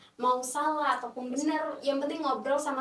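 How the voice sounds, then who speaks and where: A woman is talking while noticeable background noise fills the recording. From Timor-Leste. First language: not Indonesian (speaking Indonesian). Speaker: international student. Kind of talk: podcast interview. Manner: hesitant, many fillers.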